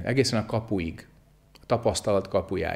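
A man speaks at a fairly slow pace against a quiet background. His pitch variation is ordinary. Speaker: zen teacher. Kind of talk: sermon. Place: church. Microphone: lapel.

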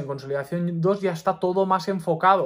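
A high-pitched male voice with fairly even intonation, on a very clean recording with a silent background. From Mallorca, Spain. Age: 20s. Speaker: doctor and YouTuber. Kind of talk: personal advice monologue to camera.

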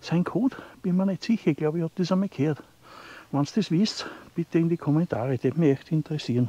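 A man with a high pitch talks very fast in an Austrian Bavarian accent. His loudness swings widely, and the sound is dry and close with no echo. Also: ordinary pitch variation. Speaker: outdoor vlogger. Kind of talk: walking vlog narration. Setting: outdoors in a forest.

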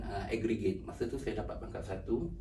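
A man's voice with audible room echo. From Malaysia, Pahang and Selangor. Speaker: author and university driver. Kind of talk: interview. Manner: halting.

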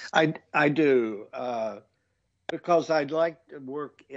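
Speaking with a Southern US accent, a man with a fairly high pitch lets his voice rise and fall in very wide swings. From small-town North Carolina, US South. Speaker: needlepoint designer. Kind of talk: casual interview chat.

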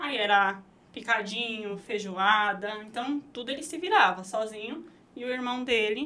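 The woman talks at a fairly slow pace with ordinary pitch variation. Her loudness swings widely. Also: fairly high pitch for a woman. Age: 20s. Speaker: burger restaurant owner; guest. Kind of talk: interview conversation. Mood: calm, reflective. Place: studio. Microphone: studio mic.

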